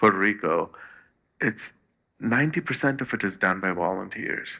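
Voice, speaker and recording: A man with a fairly low pitch and a bright, sharp tone speaks at a moderate pace. His pitch variation is ordinary, and the background is quiet. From India. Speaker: nonprofit state director. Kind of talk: interview. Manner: halting, many repetitions.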